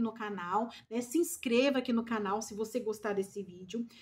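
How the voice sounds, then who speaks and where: A woman at a moderate pace. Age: 40s. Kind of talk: devotional Bible teaching. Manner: informal, conversational.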